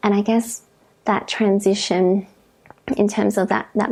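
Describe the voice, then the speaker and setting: A woman speaks with an Australian accent. Her pitch is medium and her pace moderate. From Karratha, Western Australia. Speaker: registered psychologist. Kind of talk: interview answer.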